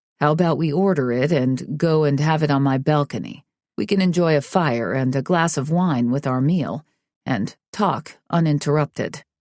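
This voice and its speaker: A put-on character voice sits at a low-to-middle pitch and moves at a moderate pace. The recording is very clean, with a silent background. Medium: read story. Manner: casual, assured.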